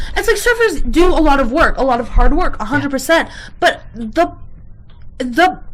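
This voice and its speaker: A woman speaks loudly at a moderate pace, her high pitch making very wide swings. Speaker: podcast co-host. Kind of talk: casual chat. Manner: animated.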